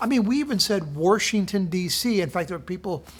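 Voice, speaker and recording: The speaker has a Midwestern American accent. The pace is moderate. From southern Indiana. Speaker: devotional speaker. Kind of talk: casual devotional talk.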